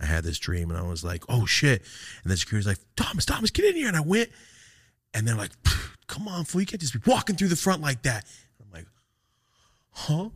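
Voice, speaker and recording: Somewhat breathy and fairly high, a man's voice moves at a fairly quick pace with very wide pitch swings and long, frequent pauses. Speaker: podcast host and cannabis content creator. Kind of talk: casual chat. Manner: mumbles, words run together.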